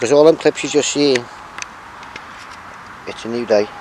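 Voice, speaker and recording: A man speaks at a fairly quick pace with ordinary pitch variation, his dry, echo-free sound set against noticeable background noise. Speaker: urban explorer vlogger. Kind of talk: casual vlog chat. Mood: relaxed, chatty. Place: open country. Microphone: phone near.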